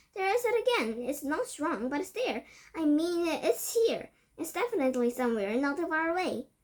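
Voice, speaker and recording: A woman's put-on character voice, shrill and extremely high, at a moderate pace with very wide pitch swings. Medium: read story. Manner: shrill, urgent.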